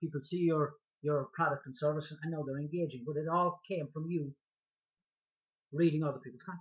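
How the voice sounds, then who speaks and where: Fairly high-pitched, a man speaks in a strong Irish accent. His delivery is fairly quick, with monotone, flat intonation. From Ireland. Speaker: online marketing vlogger. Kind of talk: talking-head video tutorial. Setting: speaking to camera. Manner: hesitant with many fillers and repetitions.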